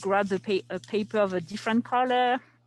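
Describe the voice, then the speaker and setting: At a fairly quick pace, a woman speaks with ordinary pitch variation over a quiet background. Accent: French. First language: French. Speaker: archives preservation specialist teaching a workshop. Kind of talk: online workshop tutorial. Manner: hesitant, many fillers.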